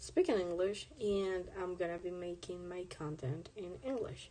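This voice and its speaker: With a Spanish accent, a woman speaks at a fairly slow pace, her medium-pitched voice dark and mellow in tone. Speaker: artist streamer. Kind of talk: casual live stream chat while drawing. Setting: live stream. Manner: casual, halting with fillers.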